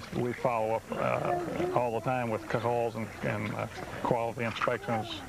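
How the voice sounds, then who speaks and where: With noticeable background noise behind him, a man speaks at a moderate pace and medium pitch, his pitch varying an ordinary amount. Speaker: pool company co-owner. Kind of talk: interview answer.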